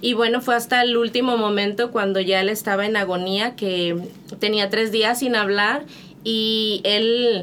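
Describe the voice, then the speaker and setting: A woman with an ordinary speaking voice talks at a fairly slow pace and a fairly high pitch, her intonation fairly even and her loudness very even. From Monterrey, Mexico. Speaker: missionary. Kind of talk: testimony.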